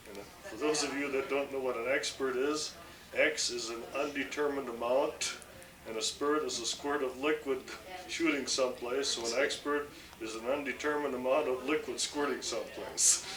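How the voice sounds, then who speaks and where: A man with an American accent speaks at a fairly high pitch with fairly even intonation. Audible room echo and noticeable background noise surround his voice. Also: moderate pace. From Minnesota. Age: 60s. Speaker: building contractor. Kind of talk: casual family interview.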